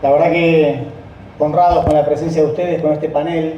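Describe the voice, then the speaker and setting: A high-pitched man at a moderate pace, with audible room echo and noticeable background noise. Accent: Rioplatense. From Argentina, Rosario. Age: 60s. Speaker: company founding partner. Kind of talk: speech.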